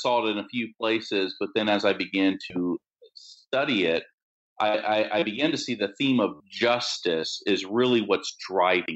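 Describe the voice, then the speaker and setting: A man speaks in a normal speaking voice with a fairly low pitch. His pace is moderate and his pitch variation ordinary. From Maryland, US. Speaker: Bible scholar and pastor. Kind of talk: interview about scripture. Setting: remote call with poor internet.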